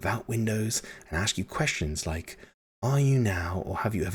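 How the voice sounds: The background stays quiet. A natural reading voice carries lively intonation.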